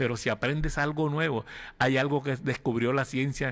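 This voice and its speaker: Using an unremarkable speaking voice, a man talks at medium pitch and a moderate pace with fairly even intonation. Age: 60s. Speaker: pastor. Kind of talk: sermon.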